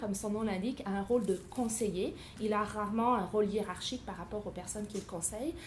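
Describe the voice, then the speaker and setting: Somewhat breathy, a woman talks at a fairly quick pace with a fairly high pitch and ordinary pitch variation. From France. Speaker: university professor. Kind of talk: interview.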